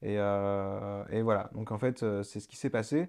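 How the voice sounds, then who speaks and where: Fairly even intonation at a moderate pace. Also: man, quiet background. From France, Le Mans. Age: 30s. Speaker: start-up founder. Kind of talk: radio interview. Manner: halting, many fillers.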